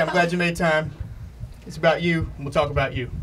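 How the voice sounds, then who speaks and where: Over noticeable background noise, a man with an American accent speaks at a fairly high pitch with ordinary pitch variation. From US South. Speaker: comedian talk show host. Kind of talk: comedic interview.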